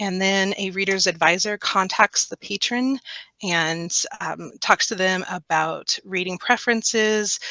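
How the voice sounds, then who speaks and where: The voice has a bright, sharp tone, heard in a dry, close sound with no echo against a quiet background. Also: woman, medium pitch for a woman, ordinary pitch variation, fairly slow pace. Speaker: librarian giving a training webinar. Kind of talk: webinar presentation. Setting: online webinar.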